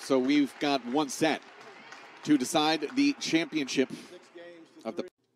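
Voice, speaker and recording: A relaxed-toned man with a fairly high pitch speaks at a fairly slow pace, leaving long, frequent pauses and using ordinary pitch variation. The sound is dry and close with no echo, with crowd noise in the background. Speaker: tennis commentator. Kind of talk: live tennis match commentary. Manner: relaxed, conversational play-by-play with filler words; bursts of admiring enthusiasm at big points.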